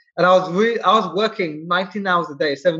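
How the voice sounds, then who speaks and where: At a very fast pace, a man talks in a bright, sharp tone with a high pitch and fairly even intonation. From England, London. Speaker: SEO expert, entrepreneur. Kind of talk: interview.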